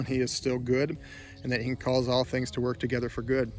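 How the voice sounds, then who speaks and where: A man's voice, dry with no echo, over faint music in the background. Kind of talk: casual vlog chat, personal reflection. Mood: grieving, sincere, subdued. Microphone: phone near.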